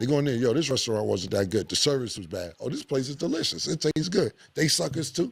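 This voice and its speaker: Very fast speech with hardly any pauses carries vocal fry and very wide pitch swings. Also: man, medium pitch for a man. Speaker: talk show host. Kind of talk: casual chat.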